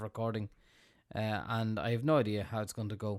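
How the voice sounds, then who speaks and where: A man at medium pitch speaks in an Irish accent, recorded very cleanly against a silent background. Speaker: sysadmin tech tutor. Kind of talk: tutorial. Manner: fast. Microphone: big studio mic.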